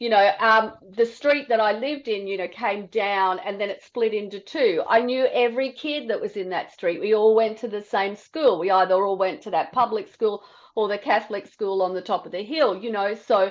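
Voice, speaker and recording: A woman in an Australian accent at a fairly high pitch and moderate pace, with ordinary pitch variation and hardly any pauses. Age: 60s. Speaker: podcast host. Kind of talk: casual chat. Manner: conversational, with many fillers.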